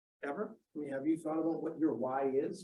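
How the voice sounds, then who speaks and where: Speech at a very fast pace in a Boston accent. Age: 40s. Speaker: sales professor. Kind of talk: lecture. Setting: classroom. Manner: animated.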